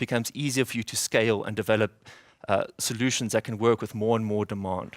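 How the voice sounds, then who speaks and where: Talking at a very fast pace with big swings in loudness, a man of medium pitch speaks with a South African accent, his sound dry and close with no echo on a very clean recording with a silent background. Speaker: software developer, conference speaker. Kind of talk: conference talk. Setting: stage with audience. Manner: fast when excited.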